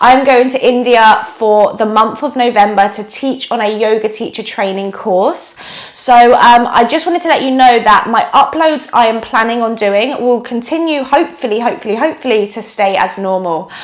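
A woman talks at a moderate pace with hardly any pauses. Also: ordinary pitch variation. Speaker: yoga teacher. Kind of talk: casual vlog chat. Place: home room.

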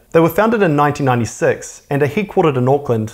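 With a New Zealand accent, a man speaks at a fairly quick pace in a fairly high voice with very wide pitch swings. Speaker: personal finance YouTuber. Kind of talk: scripted educational narration.

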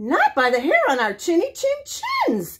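Someone uses a put-on character voice, pitched high and delivered at a moderate pace. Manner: squealing.

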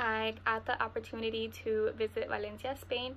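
With a Spanish accent, a woman speaks at a fairly quick pace over light background noise. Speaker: university student. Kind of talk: testimonial. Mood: warm, calm. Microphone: webcam.

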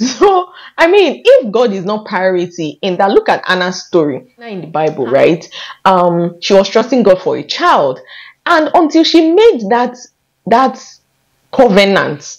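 A woman at medium pitch speaks in an animated tone at a fairly slow pace, with very wide pitch swings and big swings in loudness. The background is quiet. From Nigeria. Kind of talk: faith-based vlog talk to camera. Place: home room. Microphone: lapel.

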